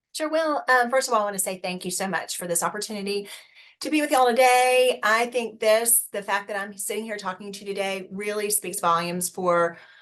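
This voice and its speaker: A fairly quick delivery in a Southern US accent with ordinary pitch variation. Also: woman, medium pitch for a woman. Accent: sweet Southern. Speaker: HR executive. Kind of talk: webinar panel talk.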